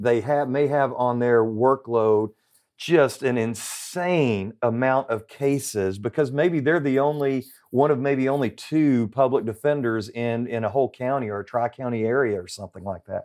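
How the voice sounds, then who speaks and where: A man with a Southern US accent speaks at a moderate pace. His pitch is medium with ordinary pitch variation. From Central Arkansas. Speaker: private investigator and wrongful conviction advocate. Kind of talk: interview.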